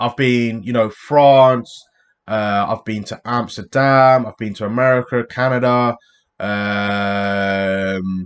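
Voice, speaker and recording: A man speaks with a British accent at a medium pitch. His pace is very slow. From England. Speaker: YouTube reactor. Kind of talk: casual chat. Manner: animated.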